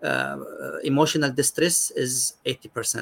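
The sound is dry and close with no echo as a man speaks with an Arabic accent. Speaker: psychiatrist. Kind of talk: expert interview.

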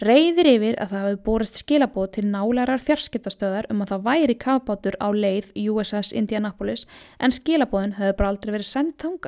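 On a very clean recording with a silent background and a dry, close sound with no echo, a woman speaks at a fairly high pitch with ordinary pitch variation. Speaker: podcast host. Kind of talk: scripted narration. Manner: animated.

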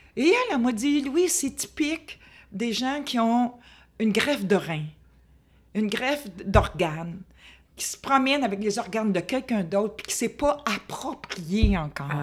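On a very clean recording with a silent background, a woman with a fairly high pitch speaks at a fairly slow pace, her pitch swinging very widely, with long, frequent pauses. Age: 70s. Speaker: hard-of-hearing woman sharing her life story. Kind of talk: interview testimony.

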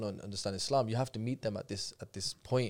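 With a Birmingham accent, a man speaks at a fairly quick pace in a fairly low pitch with ordinary pitch variation, on a very clean recording with a silent background. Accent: Birmingham English (Brummie). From Birmingham, England. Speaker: personal development course teacher. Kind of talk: casual chat.

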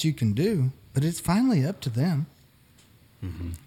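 At a moderate pace, a man speaks in a fairly high pitch with a somewhat breathy voice and a dark, mellow tone. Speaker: podcast co-host. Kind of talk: casual panel discussion.

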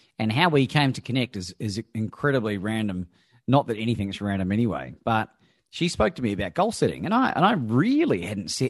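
With an unremarkable speaking voice, a man talks at a fairly quick pace and with lively intonation, the sound dry and close with no echo against a quiet background. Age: 40s. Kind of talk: interview.

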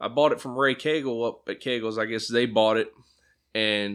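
Using a plain, everyday voice with an American accent, a man speaks at a moderate pace and a medium pitch. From Pennsylvania. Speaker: sprint car driver and Marine veteran. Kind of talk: casual interview chat. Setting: studio.

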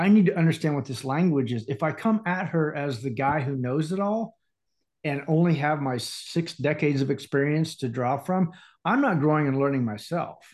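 Over a quiet background, a man with an American accent and an ordinary speaking voice talks at a fairly high pitch and moderate pace with ordinary pitch variation. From Indiana. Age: 50s. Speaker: life coach. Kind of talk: casual chat.

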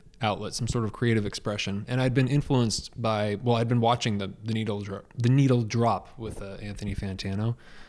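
In a West Coast accent, a man talks at a fairly quick pace and medium pitch with ordinary pitch variation. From US Pacific Northwest, Portland, Oregon. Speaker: book reviewer and YouTuber. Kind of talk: casual interview.

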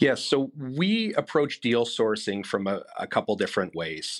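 A man in a Manitoban accent with lively intonation, on a very clean recording with a silent background. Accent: Canadian (Manitoba). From Canada, Winnipeg. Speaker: corporate development executive. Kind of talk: interview. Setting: studio.

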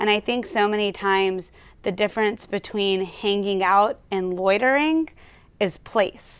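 With an American accent, a woman talks at a fairly slow pace in an unremarkable speaking voice of medium pitch and ordinary pitch variation, on a very clean recording with a silent background. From Louisiana, US South (Baton Rouge). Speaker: architect. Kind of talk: interview.

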